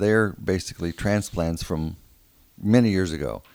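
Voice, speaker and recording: On a very clean recording with a silent background, the speaker talks at a moderate pace with lively intonation in an American accent. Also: man. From San Antonio, Texas. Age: 60s. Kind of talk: casual interview chat.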